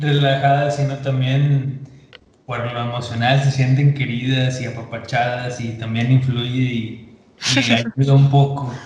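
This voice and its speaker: Over noticeable background noise and audible room echo, a man speaks at a fairly slow pace in a medium pitch with monotone, flat intonation. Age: 20s. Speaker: podcast guest. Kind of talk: casual chat.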